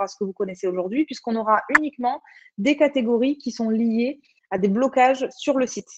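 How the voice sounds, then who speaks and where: A woman's high voice with a southern French accent, at a moderate pace and with ordinary pitch variation. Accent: southern French (Occitan). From Occitanie, southern France. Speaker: online platform community manager presenter. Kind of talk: webinar presentation with screen demo. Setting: video conference webinar. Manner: hesitant, many fillers.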